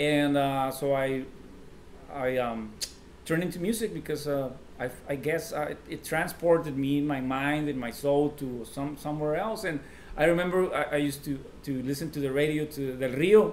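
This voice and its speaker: A man with a Mexican accent talks at a fairly high pitch and a moderate pace, with ordinary pitch variation. Room echo is audible. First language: Spanish. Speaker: singer-songwriter. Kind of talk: casual interview chat. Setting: drinking beers in a sit-down interview. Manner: halting, many fillers and restarts.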